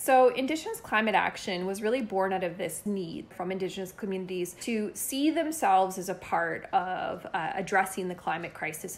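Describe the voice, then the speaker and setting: At a moderate pace and with hardly any pauses, a woman speaks in a plain, everyday voice at medium pitch with lively intonation. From northern Alberta, Canada (First Nation). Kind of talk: testimony.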